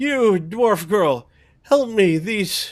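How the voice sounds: The man adopts a high-pitched, put-on character voice.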